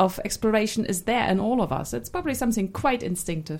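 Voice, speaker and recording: Her voice sits at a fairly high pitch with very wide pitch swings and vocal fry as this woman speaks. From East Germany. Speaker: academic director. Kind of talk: panel discussion.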